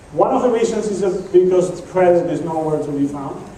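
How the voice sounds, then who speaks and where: Amid noticeable background noise and audible room echo, a man speaks at a moderate pace with lively intonation. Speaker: economist giving a market outlook talk. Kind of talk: presentation to audience with slides.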